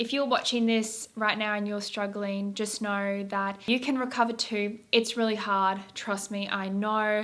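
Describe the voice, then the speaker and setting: Monotone, flat delivery with hardly any pauses. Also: woman, fairly high pitch for a woman, fairly slow pace. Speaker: vlogger sharing eating disorder recovery. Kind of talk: casual chat to camera.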